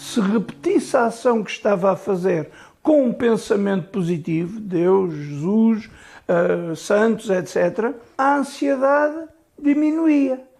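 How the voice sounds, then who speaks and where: A man talks very slowly in a high pitch that swings very widely. His loudness stays very even. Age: 60s. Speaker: IT technician with OCD. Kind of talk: interview testimony.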